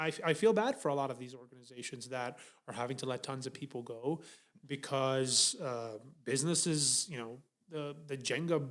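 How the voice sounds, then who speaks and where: This man speaks at a medium pitch with a non-native accent. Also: ordinary pitch variation, moderate pace. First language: not English. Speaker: podcast co-host. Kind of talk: casual chat. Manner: hesitant, many fillers and restarts.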